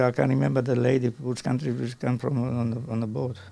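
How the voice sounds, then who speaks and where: A man speaks in a dark, mellow tone. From Croatia. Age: 80s+. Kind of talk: interview answer. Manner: rambling, talkative.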